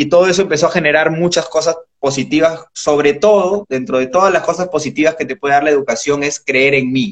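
A man speaks at a fairly quick pace in a plain, everyday voice, fairly high-pitched for a man, with ordinary pitch variation. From Peru. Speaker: entrepreneur. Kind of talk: casual interview. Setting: Instagram live.

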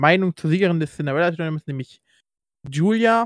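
In a very clean recording with a silent background, the sound is dry and close with no echo. A man speaks fairly quickly in a high pitch with ordinary pitch variation. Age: 20s. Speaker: wrestling podcast host. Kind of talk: casual chat.

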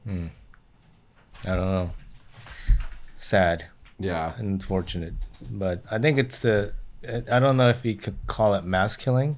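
A man with an American accent at a fairly slow pace, ordinary pitch variation and long, frequent pauses. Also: fairly low pitch for a man. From Japan, then US from age 8 for ten years. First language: Japanese. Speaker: guest. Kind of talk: casual chat.

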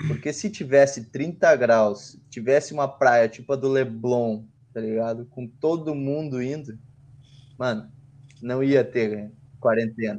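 Having an ordinary speaking voice at a medium pitch, a man goes at a fairly slow pace with ordinary pitch variation and big swings in loudness. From southern Brazil, Porto Alegre. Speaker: podcast co-host. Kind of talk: casual chat.

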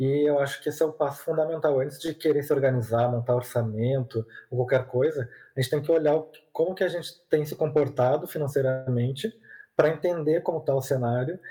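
A man speaks at a fairly quick pace with a dark, mellow tone and a somewhat breathy quality. His pitch is fairly high, and his intonation stays fairly even. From southern Brazil, Porto Alegre. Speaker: content creator on personal finance. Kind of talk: podcast interview. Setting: remote recording over the internet.

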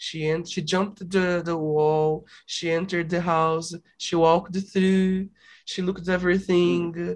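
At a fairly slow pace, a man with a Brazilian accent talks in a monotone, flat way at a high pitch. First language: Portuguese. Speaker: podcast host. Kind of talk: casual chat. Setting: video call. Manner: halting.

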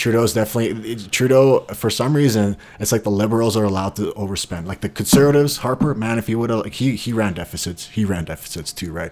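A man's medium-pitched voice at a very fast pace with hardly any pauses, ordinary pitch variation, and noticeable background noise. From Bosnia. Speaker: MMA fighter. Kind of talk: casual chat.

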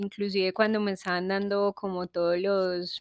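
A woman's voice sits at medium pitch. She talks fairly slowly. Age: 20s. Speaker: podcast host. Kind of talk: personal monologue.

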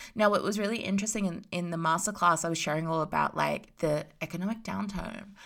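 A woman speaks in an Australian accent with an animated tone and ordinary pitch variation. The recording is very clean, with a silent background. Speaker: spiritual business coach podcaster. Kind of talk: casual motivational monologue.

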